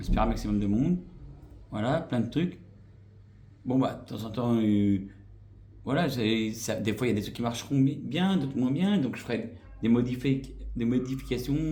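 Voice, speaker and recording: Somewhat breathy, dark, mellow male voice of medium pitch, moderate pace and ordinary pitch variation, with long, frequent pauses and audible room echo. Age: 40s. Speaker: YouTuber. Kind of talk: vlog channel introduction. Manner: hesitant, many fillers.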